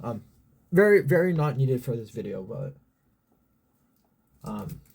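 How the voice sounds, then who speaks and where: A man at medium pitch speaks at a moderate pace, somewhat breathy. His pitch swings very widely and his loudness varies greatly. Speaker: YouTube reaction channel host. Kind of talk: casual reaction video intro. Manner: halting, many fillers.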